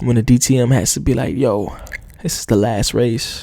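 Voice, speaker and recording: A man speaks with an American accent. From New Jersey. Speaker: motorsport podcast host. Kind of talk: solo podcast commentary. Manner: many filler sounds (uh, um); hesitant, repeated words.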